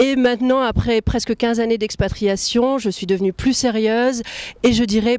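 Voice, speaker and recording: Her voice sits fairly high. The woman's intonation is fairly even. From France. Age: 30s. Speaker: translator and elected representative of French expatriates. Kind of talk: interview answers. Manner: hesitant, many filler sounds.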